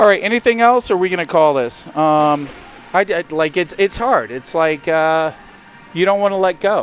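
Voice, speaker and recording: Noticeable background noise fills the clip. A man talks through it at a moderate pace. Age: 50s. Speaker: roller hockey tournament owner. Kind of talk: casual chat. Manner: halting.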